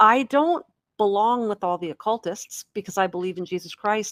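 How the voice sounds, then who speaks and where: A woman's plain, everyday voice with ordinary pitch variation, in a dry, close sound with no echo. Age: 50s. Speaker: podcast host. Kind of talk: casual chat.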